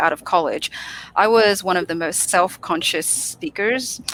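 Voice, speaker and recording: This woman speaks at a moderate pace with an Australian accent, her medium-pitched voice carrying a bright, sharp tone. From Australia, Sydney. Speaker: public speaking coach. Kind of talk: interview.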